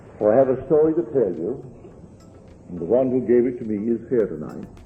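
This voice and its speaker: With music in the background, a man speaks at a medium pitch with lively intonation. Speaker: spiritual lecturer. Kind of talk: lecture to a live audience.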